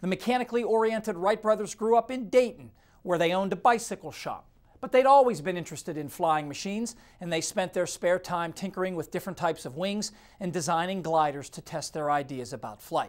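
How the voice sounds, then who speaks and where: Someone with a Midwestern American accent speaks at a very fast pace in a very clean recording with a silent background. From Ohio. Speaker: TV weather presenter. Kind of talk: scripted narration.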